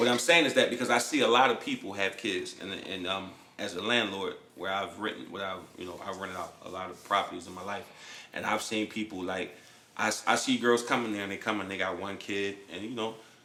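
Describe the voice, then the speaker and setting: Fairly low in pitch, a man talks at a fairly quick pace with fairly even intonation. His loudness swings widely, and the room echo is audible. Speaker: podcast host and landlord. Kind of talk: casual chat. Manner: halting.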